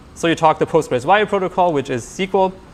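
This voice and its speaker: Ordinary pitch variation marks a man's very fast-paced speech. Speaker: software engineer giving a tech talk. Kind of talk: technical talk to live audience.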